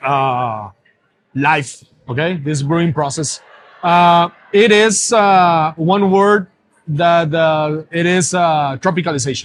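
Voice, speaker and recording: A man with a Spanish accent speaks very slowly at a fairly high pitch with ordinary pitch variation. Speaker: brewer. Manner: slow, hesitant, many fillers.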